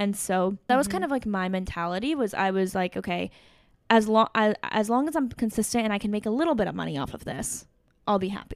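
This is a normal speaking voice with ordinary pitch variation. The pace is fairly quick. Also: woman. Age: 20s. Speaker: content creator and entrepreneur. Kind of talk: casual interview. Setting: in-person studio recording.

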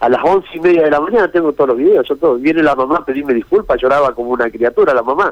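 In a Rioplatense accent, a man with a fairly high pitch talks very fast with hardly any pauses and ordinary pitch variation. Background noise is noticeable. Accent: Argentine Spanish (rioplatense, voseo). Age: old. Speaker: fisherman involved in a viral incident. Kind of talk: phone interview on radio.

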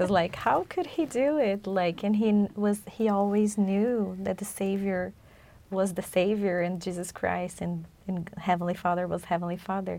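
A woman speaks at a moderate pace with a Portuguese accent. Her medium-pitched voice has a dark, mellow tone and fairly even intonation. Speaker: podcast co-host. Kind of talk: religious study discussion. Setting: studio.

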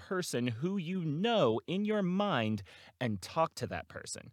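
A high-pitched man speaks at a fairly slow pace in an animated tone, with very wide pitch swings. The recording is very clean, dry and close, with a silent background and no echo. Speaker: voice actor. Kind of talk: solo podcast monologue. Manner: rambling, casual with laughs.

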